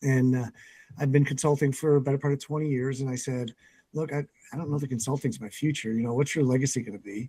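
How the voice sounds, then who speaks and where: Talking at a very fast pace, a man uses a medium pitch and fairly even intonation. His tone is dark and mellow, and somewhat breathy. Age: 60s. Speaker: business coach and CEO. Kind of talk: podcast interview.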